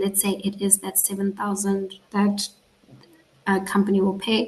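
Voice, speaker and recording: Here a woman talks at medium pitch and a moderate pace. Her voice is somewhat breathy. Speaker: placement coordinator for students. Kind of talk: online onboarding session with Q&A. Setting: video call with live stream. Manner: casual, conversational.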